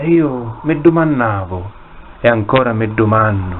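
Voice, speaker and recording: Noticeable background noise sits behind a man. He speaks very slowly with lively intonation. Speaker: poet reading own work. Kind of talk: poetry reading.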